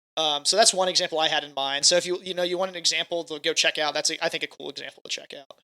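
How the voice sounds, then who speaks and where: At a very fast pace, a high-pitched man speaks with a bright, sharp tone and monotone, flat intonation, his loudness swinging widely in a dry, close sound with no echo. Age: young. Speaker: podcast co-host. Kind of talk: casual chat.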